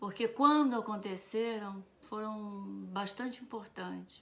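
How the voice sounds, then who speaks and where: A woman's fairly high voice at a very slow pace. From Brazil, Rio de Janeiro. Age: 70s. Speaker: retired teacher. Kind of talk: personal storytelling.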